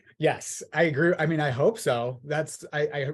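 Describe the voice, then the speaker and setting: Against a quiet background, a man with an American accent speaks at a fairly high pitch in a somewhat breathy voice. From Southern California (Orange County). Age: 30s. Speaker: political candidate. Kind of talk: interview.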